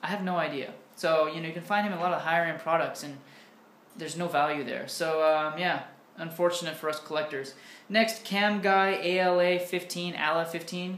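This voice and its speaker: Speaking with an American accent, a man uses a high-pitched voice with fairly even intonation at a fairly quick pace, and audible room echo. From United States. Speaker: English teacher and YouTuber; English teacher, YouTuber. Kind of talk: casual Q&A vlog. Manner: casual, with many fillers. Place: home room. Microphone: webcam.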